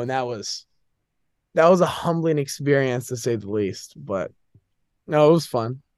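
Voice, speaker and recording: This is a man with an ordinary speaking voice and a fairly high pitch. He keeps a moderate pace. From US, Northern Virginia. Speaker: college student athlete. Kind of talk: casual chat.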